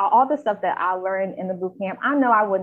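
This woman has an unremarkable speaking voice at a medium pitch, with ordinary pitch variation. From North Carolina, US South. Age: 20s. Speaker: health reporter. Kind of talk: casual chat.

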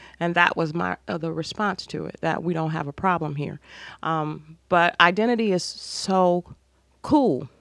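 An ordinary speaking voice from a woman, fairly low-pitched and fairly slow, with ordinary pitch variation. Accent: American. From US Midwest, Ohio (Cleveland). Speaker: retired schoolteacher and author. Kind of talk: interview.

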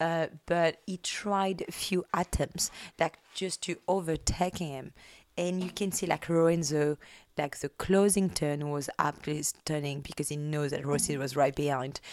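This woman's pitch is very deep and low. She talks at a fairly slow pace with fairly even intonation. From France. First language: French.

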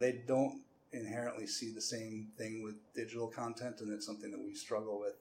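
A medium-pitched man with an American accent, fairly quick, in a monotone, flat delivery. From US Midwest, Cleveland suburbs, Ohio. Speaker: public library director. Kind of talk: podcast interview. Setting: library branch. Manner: halting, many fillers and repeats.

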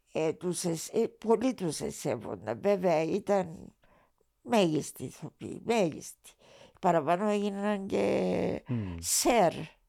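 A woman speaks very slowly in a dark, mellow tone with vocal fry. Her pitch swings very widely. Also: fairly low pitch for a woman, very clean recording, silent background. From Cyprus. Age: 80s+. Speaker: retired TV writer and director. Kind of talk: interview.

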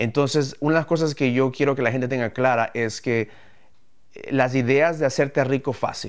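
Here is a man with a normal speaking voice, medium in pitch. He keeps a moderate pace and fairly even intonation in a very clean recording with a silent background. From Ecuador, moved to the US at 11. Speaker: entrepreneur, podcast co-host. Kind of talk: live podcast talk about business.

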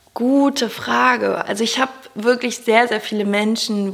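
A woman talks at a fairly slow pace, noticeable noise audible behind her. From Germany, Cologne. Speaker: personal development coach and podcaster. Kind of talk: interview.

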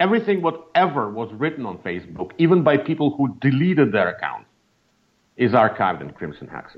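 The voice has vocal fry and moves at a fairly quick pace. Both pitch and loudness swing widely. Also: man, fairly high pitch for a man. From Russia. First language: Russian. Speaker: media scholar, senior fellow. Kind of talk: interview.

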